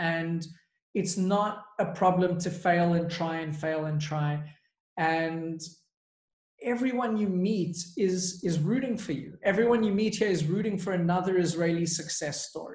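With an American accent, a man speaks at a fairly slow pace in a high pitch with ordinary pitch variation. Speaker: podcast guest, startup founder.

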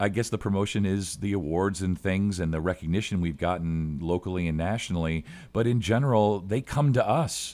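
Recorded very cleanly against a silent background, a normal speaking voice moves at a moderate pace with lively intonation. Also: man. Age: 50s. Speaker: college radio station manager. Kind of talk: casual chat.

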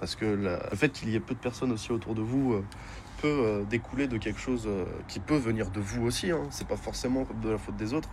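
This man's voice sits at medium pitch and shows ordinary pitch variation. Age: 20s. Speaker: guest sharing personal story. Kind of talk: testimony. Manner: halting.

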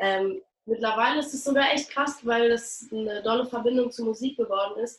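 With an ordinary speaking voice, a woman talks at a moderate pace with a fairly high pitch and ordinary pitch variation. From Berlin, Germany. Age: young. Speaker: actress and singer. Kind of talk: interview.

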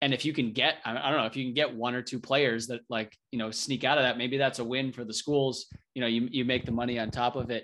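This man talks at a very fast pace with hardly any pauses, at a medium pitch and in a flat monotone. His tone is bright and sharp, and the background is quiet. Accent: American. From New Hampshire, US. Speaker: former soccer defender. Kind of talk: casual chat.

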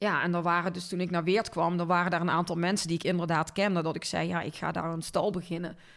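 In a Brabant accent, a woman speaks very fast with hardly any pauses. Her fairly low voice stays monotone, with flat intonation. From Netherlands, North Brabant (Linden near Cuijk). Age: 40s. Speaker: marketing agency owner. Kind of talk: casual interview.

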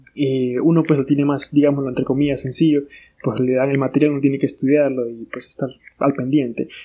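A fairly high-pitched man talks very fast in a monotone, flat intonation. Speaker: international relations student representative. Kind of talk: casual chat.

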